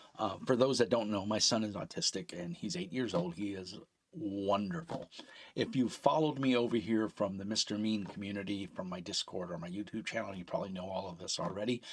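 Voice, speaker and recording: On a very clean recording with a silent background, a man talks at a fairly quick pace in a fairly low pitch with ordinary pitch variation. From New York, Brooklyn. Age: 50s. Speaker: streamer and painter. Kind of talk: live stream casual chat. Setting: live stream on camera.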